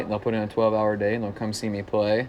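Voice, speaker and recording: With a slight Southern accent, a man speaks at a fairly low pitch. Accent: slight Southern, small town twang. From Central Illinois, small town. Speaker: folk singer-songwriter. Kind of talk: casual interview. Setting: bar.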